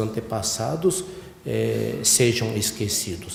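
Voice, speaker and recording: Amid noticeable background noise and audible room echo, a man speaks at a very slow pace with very wide pitch swings. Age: 60s. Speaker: church head minister. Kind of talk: sermon. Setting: church ceremony. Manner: halting, many fillers.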